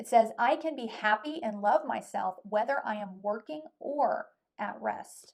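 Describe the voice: Putting on a character voice, a woman sounds hoarse, with a fairly high pitch and lively intonation. She speaks at a moderate pace.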